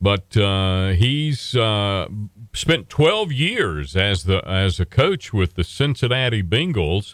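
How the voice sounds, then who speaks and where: A very slow voice in an Appalachian accent, with very wide pitch swings and very even loudness. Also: man, fairly low pitch for a man. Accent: Southern US (Appalachian). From Western North Carolina. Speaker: radio host. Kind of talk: casual chat.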